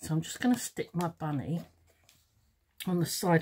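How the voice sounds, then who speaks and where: Somewhat breathy, the voice moves at a moderate pace. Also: woman. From London, England. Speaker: craft teacher and video maker. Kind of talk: tutorial. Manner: casual, hesitant with fillers.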